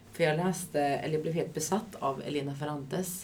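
Fairly quick speech with audible room echo. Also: woman. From Sweden, Västervik. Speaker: cultural developer, podcast co-host. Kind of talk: casual chat.

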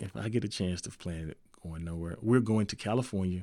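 In a Memphis accent, a man with a very deep, low pitch speaks at a moderate pace with ordinary pitch variation. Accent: US Southern (Memphis). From Memphis, Tennessee. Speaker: college football coach. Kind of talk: interview.

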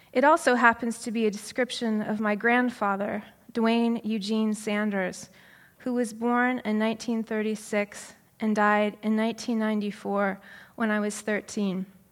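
On a very clean recording with a silent background, a woman with an American accent speaks very slowly at a fairly high pitch in monotone, flat intonation. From Washington State, Pacific Northwest. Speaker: novelist. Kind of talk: reading aloud.

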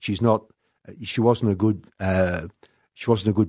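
With an Australian accent, the voice has a dark, mellow tone and fairly even intonation at a moderate pace. The sound is dry and close with no echo, over a quiet background. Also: man. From Western Australia, country town. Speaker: property developer. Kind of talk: interview. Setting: radio studio.

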